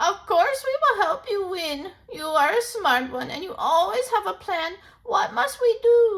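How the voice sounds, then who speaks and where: A put-on character voice, extremely high, squeaky and croaky, raised and projected. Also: moderate pace. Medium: read story. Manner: very slow.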